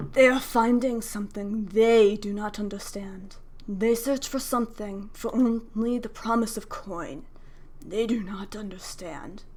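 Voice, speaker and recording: Putting on a character voice, a woman talks at a moderate pace with a fairly high pitch. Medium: actual play. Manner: commanding, menacing.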